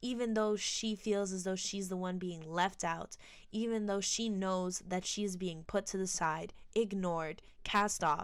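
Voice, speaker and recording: A woman's ordinary speaking voice at medium pitch and a fairly slow pace, with fairly even intonation, on a very clean recording with a silent background. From United States, Colombian-American family. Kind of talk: casual film commentary.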